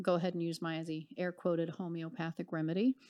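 In an ordinary speaking voice, a woman talks at a fairly quick pace with medium pitch against a quiet background. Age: 40s. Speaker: marketing director. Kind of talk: interview.

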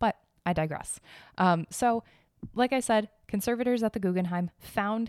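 A woman talks at a moderate pace in an animated tone with ordinary pitch variation, recorded very cleanly against a silent background with a dry, close sound and no echo. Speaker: podcast host on art and history news. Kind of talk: casual solo commentary. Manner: frequent laughter.

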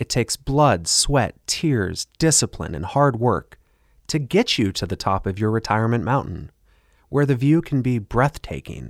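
An unremarkable speaking voice from a man at medium pitch, with lively intonation and a fairly slow pace, dry and close with no echo, on a very clean recording with a silent background. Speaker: radio host and financial advisor. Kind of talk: infomercial-style sales pitch. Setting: radio studio broadcast. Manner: urgent, pushy hard-sell with a polished radio-ad cadence.

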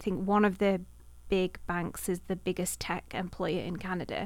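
Medium pitch from a woman with a Manchester accent, vocal fry, fairly even intonation and a moderate pace, on a very clean recording with a silent background. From Manchester area, England. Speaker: university communications director. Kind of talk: interview.

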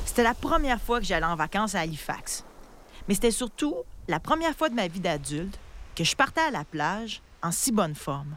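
A woman with a Quebec accent speaks at medium pitch with very wide pitch swings and long, frequent pauses, in a very clean recording with a silent background. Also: fairly quick pace. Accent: Québécois French. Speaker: podcast host. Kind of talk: casual chat; scripted narration.

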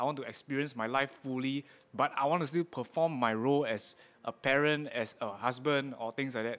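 Over a very clean recording with a silent background, a man speaks with a Singaporean accent. His pitch is fairly high and his intonation fairly even. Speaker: tattoo artist and podcast host. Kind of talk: interview.

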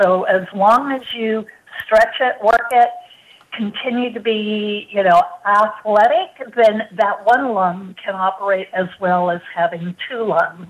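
A woman with a fairly high voice, speaking at a very slow pace over noticeable background noise. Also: ordinary pitch variation. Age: 60s. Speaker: cancer survivor and medical product founder. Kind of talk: testimony. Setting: phone call.

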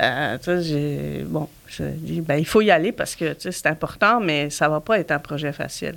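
Her voice is very deep and low in pitch, and the woman speaks with vocal fry. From Belgium. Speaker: nonprofit director. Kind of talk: casual interview.

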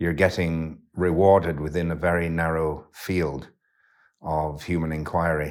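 A man talks with a very deep, low pitch. The recording is very clean, with a silent background. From West Yorkshire, England. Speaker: poet and philosopher. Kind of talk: interview. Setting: cottage by a fire. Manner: halting, with many fillers.

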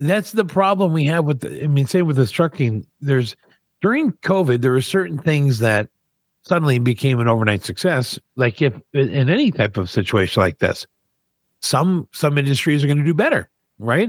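In a very clean recording with a silent background and a dry, close sound with no echo, a man with a fairly high voice makes very wide pitch swings while keeping his loudness very even. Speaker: podcast co-host. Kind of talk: radio DJ patter, teasing upcoming segments. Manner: punchy, rapid-fire, teaser-style delivery; bantering.

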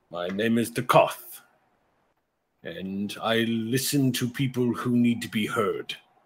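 In a put-on character voice, a man talks fairly slowly at a medium pitch with fairly even intonation. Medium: actual play. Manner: dry, sardonic, slow.

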